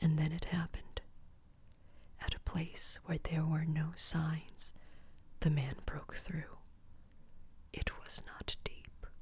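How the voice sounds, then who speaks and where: A woman whispers at a very slow pace, with long, frequent pauses. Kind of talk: bedtime story reading. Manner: soft-spoken.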